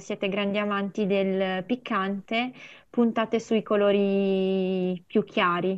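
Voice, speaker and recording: Delivery comes very slowly. The intonation changes only a little. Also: woman. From Piedmont, Italy (Mondovì area), Sri Lankan parents. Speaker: amateur theatre member. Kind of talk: casual chat.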